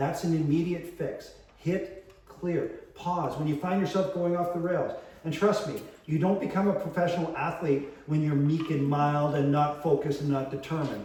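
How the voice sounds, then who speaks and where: A man speaks loudly at a moderate pace in a high pitch, his intonation fairly even. Audible room echo and noticeable background noise fill the recording. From Canada, Winnipeg. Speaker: longevity coach. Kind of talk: talk to an audience. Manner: intense.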